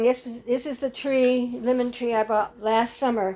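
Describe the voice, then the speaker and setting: A woman's dark, mellow tone at a fairly slow pace. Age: 80s+. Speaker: farmer. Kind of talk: casual vlog walkthrough. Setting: greenhouse. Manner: halting.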